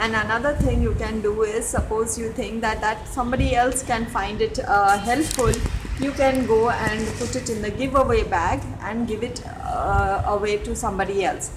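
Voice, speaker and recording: Amid noticeable background noise and audible room echo, a woman with a fairly high pitch speaks at a moderate pace with ordinary pitch variation. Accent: Telugu. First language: Telugu. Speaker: home vlogger. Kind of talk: tutorial. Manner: halting, many fillers. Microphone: network issues.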